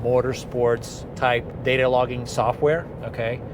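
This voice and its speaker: Noticeable background noise behind a man talking at a medium pitch. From outside the US (immigrant). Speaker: car enthusiast vlogger. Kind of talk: casual vlog monologue. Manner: monotone; hesitant, many fillers and repeats.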